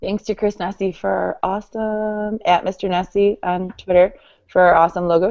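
Her pitch medium and her intonation monotone and flat, a woman talks at a moderate pace. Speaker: school leader and podcast co-host. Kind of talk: casual chat. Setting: online call.

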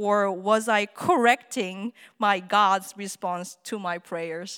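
Over a silent background in a very clean recording, a woman speaks at a very slow pace with a medium pitch. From South Korea. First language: Korean. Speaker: theater artist and musician. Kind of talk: personal talk to an audience. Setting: stage with audience.

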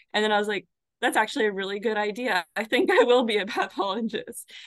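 A normal speaking voice from a woman with an American accent, fairly high pitch and ordinary pitch variation, in a dry, close sound with no echo. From Arizona. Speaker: pathology resident. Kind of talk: interview.

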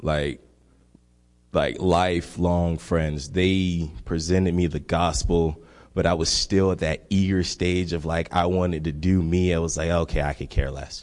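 A man's very deep, low voice in an American accent, monotone and flat, against a quiet background. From Miami, Florida. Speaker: congregation member giving testimony. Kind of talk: testimony. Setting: church.

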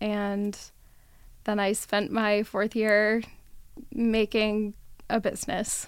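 A woman's fairly high voice at a very slow pace, on a very clean recording with a silent background. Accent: American. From Las Vegas, Nevada, US. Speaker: photographer. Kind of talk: interview. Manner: laughs often.

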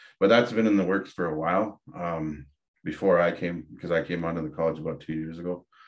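A man's very deep, low voice in an Ontario accent, at a moderate pace with ordinary pitch variation. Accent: Canadian (Ontario). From Ontario, Canada (Dokis First Nation). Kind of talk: interview conversation.

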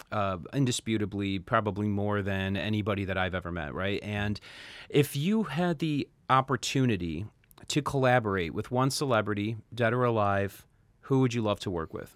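A man speaks in a plain, everyday voice, fairly low in pitch, with ordinary pitch variation. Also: moderate pace, very clean recording, silent background. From US Midwest, Chicago. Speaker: podcast host. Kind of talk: interview.

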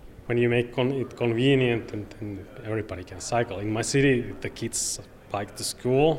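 This man has a Finnish accent and a medium pitch. His intonation stays fairly even. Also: moderate pace, big swings in loudness. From Finland, Oulu. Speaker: cycling advocate. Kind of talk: interview. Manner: halting.

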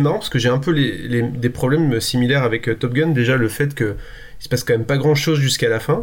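Medium in pitch, a man is speaking. His pitch variation is ordinary. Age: 40s. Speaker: film podcast co-host. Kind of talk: casual chat. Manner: halting.

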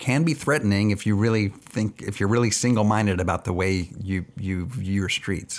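In an American accent, a normal speaking voice proceeds at a moderate pace with ordinary pitch variation. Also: man. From Texas, Austin area. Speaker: cycling advocate, advocacy group representative. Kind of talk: casual interview conversation. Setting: in-person interview.

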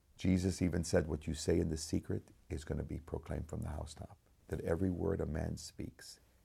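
A man speaks with an American accent in a very deep, low pitch. His delivery is monotone and flat, somewhat breathy, with a dark, mellow tone. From United States. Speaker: concert pianist. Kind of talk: testimony. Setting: studio.

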